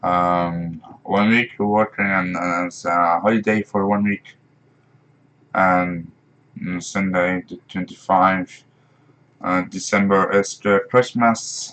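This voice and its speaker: Very slowly and with long, frequent pauses, a man speaks in a Dutch accent. His very deep, low voice stays monotone and flat. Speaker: gaming streamer. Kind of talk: live stream gameplay commentary. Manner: halting, many fillers.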